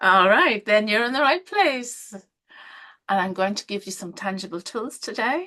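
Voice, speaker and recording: Lively intonation and a bright, sharp tone in an Irish accent, at a moderate pace with big swings in loudness. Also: woman, fairly high pitch for a woman. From Ireland. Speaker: healing coach. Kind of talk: webinar presentation. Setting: live online stream.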